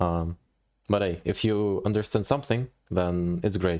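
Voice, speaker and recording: Over a silent background on a very clean recording, a man speaks at a moderate pace with a very deep, low pitch, a dark, mellow tone and fairly even intonation. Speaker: live-streaming programmer. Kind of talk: live coding stream. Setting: live stream.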